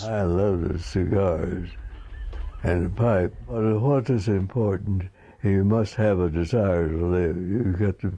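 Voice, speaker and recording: A man with a very deep, low pitch and a dark, mellow tone speaks at a very slow pace, somewhat breathy, with very even loudness. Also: ordinary pitch variation. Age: 80s+. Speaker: war veteran. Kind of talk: interview answer.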